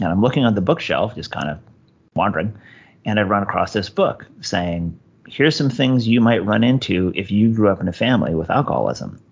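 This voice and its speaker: With an American accent, a man speaks at a fairly quick pace in a plain, everyday voice, with fairly low pitch and lively intonation. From US West Coast, Los Angeles. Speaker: podcast host guest in recovery. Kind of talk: interview.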